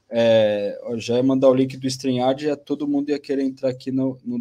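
Speaking at a moderate pace with a Brazilian accent, a man has a medium pitch and a dark, mellow tone. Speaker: podcast host. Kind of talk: live-stream hosting. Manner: halting, many fillers.

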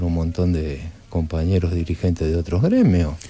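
This man has a very deep, low pitch and speaks with an Argentine accent. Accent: Argentine Spanish (Rioplatense). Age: 60s. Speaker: trade union leader and political candidate. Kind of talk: radio interview. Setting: radio studio.

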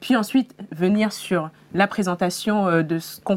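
This is a normal speaking voice. The pitch variation is ordinary. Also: woman. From Senegal. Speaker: career content creator. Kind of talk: interview.

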